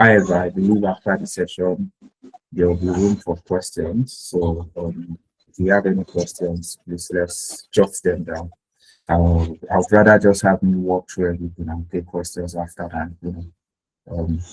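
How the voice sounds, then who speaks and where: The delivery is moderately paced, somewhat breathy, and monotone, with flat intonation. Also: man, very deep, low pitch for a man. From Nigeria. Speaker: tax webinar speaker, researcher. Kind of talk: webinar presentation. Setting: video call with screen share. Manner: hesitant, many fillers.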